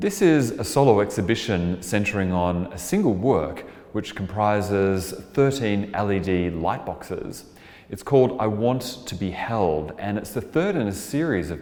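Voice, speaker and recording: A man with an Australian accent talks at a moderate pace in a fairly low voice, his intonation lively. There is noticeable background noise and audible room echo. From Australia (Melbourne). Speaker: artist and composer. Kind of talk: interview monologue about artwork.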